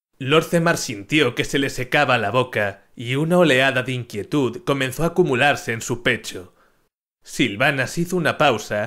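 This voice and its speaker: Speaking at a fairly slow pace, a man uses a dramatic, theatrical tone that is bright and sharp, at a medium pitch with ordinary pitch variation. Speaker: audiobook-style narrator. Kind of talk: dramatic narration of a fantasy story, reading aloud with character voices.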